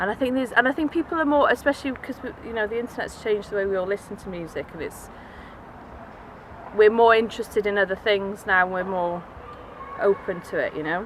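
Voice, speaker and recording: Over noticeable background noise, a woman with a fairly high pitch and lively intonation talks at a very fast pace broken by long, frequent pauses. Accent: Welsh. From Wales, Cardiff. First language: Welsh and Cornish. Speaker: musician. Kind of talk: interview. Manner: hesitant, many fillers.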